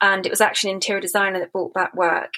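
This voice has a bright, sharp tone. It carries a British accent. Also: woman. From Britain. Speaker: podcast host and gallerist. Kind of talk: interview conversation. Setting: remote call.

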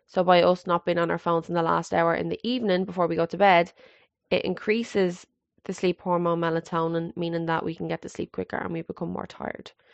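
At a very fast pace, a woman speaks in a fairly low, monotone, flat voice. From Scotland. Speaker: podcast host. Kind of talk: solo monologue.

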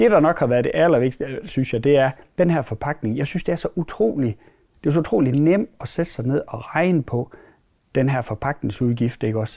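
A medium-pitched man with lively intonation at a moderate pace. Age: 40s. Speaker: dairy farmer. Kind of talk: interview. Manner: halting, many fillers.

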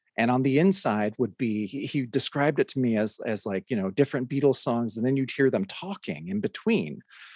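A man with an American accent and a plain, everyday voice talks at a fairly quick pace with hardly any pauses, medium pitch and lively intonation, in a dry, close sound with no echo over a quiet background. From Oregon. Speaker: podcast host and DJ. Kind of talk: casual interview.

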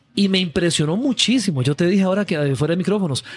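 Lively intonation marks this man's high-pitched voice at a fairly quick pace. The sound is dry and close with no echo, though noticeable background noise is present. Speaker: film podcast host. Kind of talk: interview; scripted outro. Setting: café.

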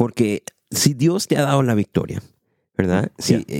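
A man speaks in a dark, mellow tone. The sound is dry and close, with no echo. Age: 20s. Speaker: podcast host, church worker. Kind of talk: casual chat about faith.

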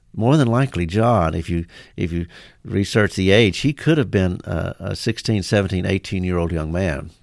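The recording is very clean, with a silent background. A man with a very deep, low voice speaks at a moderate pace and with lively intonation. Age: 60s. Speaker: pastor. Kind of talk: casual chat. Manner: halting.

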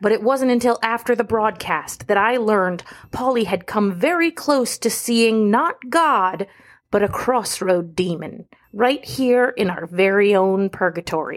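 In a very clean recording with a silent background, a woman speaks at a fairly slow pace with very even loudness. She has a fairly high pitch, lively intonation, and an ordinary speaking voice. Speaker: radio news reporter. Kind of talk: noir true-crime radio narration, scripted and tongue-in-cheek.

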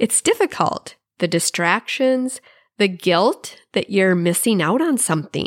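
A woman's medium-pitched voice with lively intonation at a fairly slow pace, a plain, everyday voice, dry and close with no echo on a very clean recording with a silent background. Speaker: podcast host and success strategist. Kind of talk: pep talk, motivational monologue. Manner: warm, encouraging, upbeat; rhythmic, repetitive 'You love...' list delivery.

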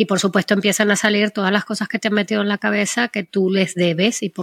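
A woman with a normal speaking voice talks at a fairly quick pace in a medium pitch with fairly even intonation, the sound dry and close with no echo. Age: 50s. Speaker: podcast co-host. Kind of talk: casual chat.

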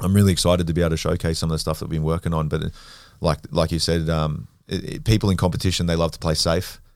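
A man's very deep, low voice with an Australian accent, fairly even intonation and a very fast pace, on a very clean recording with a silent background. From Western Sydney, Australia. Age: 20s. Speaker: grappler and former rugby league player. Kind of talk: casual chat.

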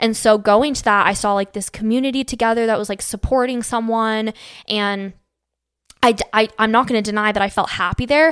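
A woman's fairly high voice with a Western US accent, fairly quick with fairly even intonation, on a very clean recording with a silent background. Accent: General American, Western US. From Arizona, Phoenix. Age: 20s. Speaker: social media creator. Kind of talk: casual chat.

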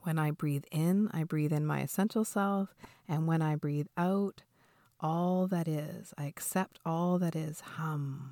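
A woman speaks very slowly at a fairly low pitch with fairly even intonation, the sound dry and close with no echo on a very clean recording with a silent background. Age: 40s. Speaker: mindfulness teacher. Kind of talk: podcast talk with guided breathing instruction.

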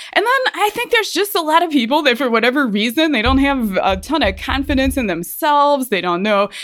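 Energetic and high-pitched, a woman talks at a fairly quick pace with very wide pitch swings and hardly any pauses. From Ohio. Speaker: podcast host and personal trainer. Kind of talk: casual monologue.

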